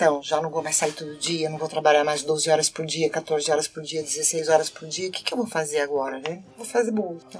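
Over music in the background, a woman with a very deep, low pitch talks with hardly any pauses and big swings in loudness. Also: ordinary pitch variation, fairly quick pace. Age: 30s. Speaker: band conductor. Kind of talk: casual chat.

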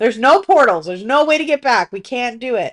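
A speaker at a moderate pace with very wide pitch swings, recorded dry and close with no echo against a quiet background. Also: woman. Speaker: TV recap podcast co-host. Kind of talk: casual chat.

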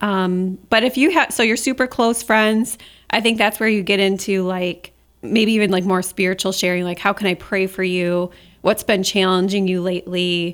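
In a normal speaking voice, a woman talks at medium pitch and a moderate pace with fairly even intonation, recorded very cleanly over a silent background. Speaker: podcast co-host. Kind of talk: casual conversational podcast chat.

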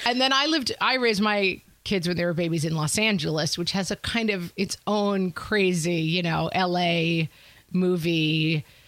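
With a New York accent, a woman speaks at a moderate pace in a fairly low pitch, with ordinary pitch variation and very even loudness. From US Northeast, Westchester County New York. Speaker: podcast host. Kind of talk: casual chat. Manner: animated.

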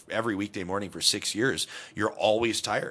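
With a Canadian accent, a man speaks at a fairly quick pace in a fairly low pitch with a bright, sharp tone. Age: 30s. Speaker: radio talk show host, former morning TV host. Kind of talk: casual interview chat.

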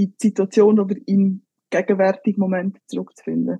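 Dark and mellow in tone, a woman's somewhat breathy voice moves at a fairly slow pace in a flat monotone. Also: dry, close sound with no echo. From Switzerland, Graubünden (Engadin). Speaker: professional football goalkeeper. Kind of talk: casual interview.

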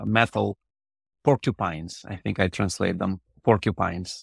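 A man with a Russian accent is heard in a very clean recording with a silent background and a dry, close sound with no echo. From Ukraine, Odessa. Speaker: reconstructive urologist. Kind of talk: interview.

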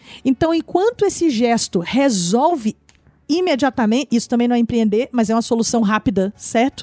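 The woman's voice is high-pitched and very even in loudness. Her recording sounds dry and close, without echo. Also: lively intonation, moderate pace. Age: 40s. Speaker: social entrepreneur. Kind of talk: casual chat. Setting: studio.

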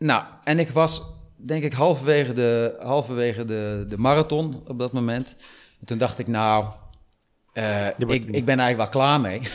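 A man at medium pitch and a moderate pace, ordinary pitch variation, very clean recording with a silent background. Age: 50s. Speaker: amateur triathlete. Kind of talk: interview storytelling. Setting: studio. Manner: halting.

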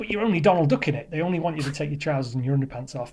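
The voice is somewhat breathy and dark and mellow in tone, with ordinary pitch variation. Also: man. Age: 40s. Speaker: caller. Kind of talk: voicemail testimony.

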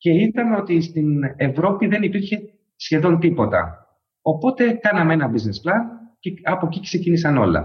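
Here a man speaks high in his range at a moderate pace. His intonation is lively. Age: 40s. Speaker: startup CEO. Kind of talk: interview.

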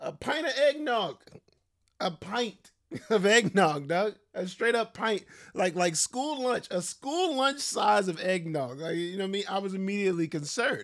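On a very clean recording with a silent background, a man speaks at a high pitch with very wide pitch swings. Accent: American. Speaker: podcast host. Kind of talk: angry comedic rant, casual. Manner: animated, indignant, rapid-fire; mock-outraged, exaggerated.

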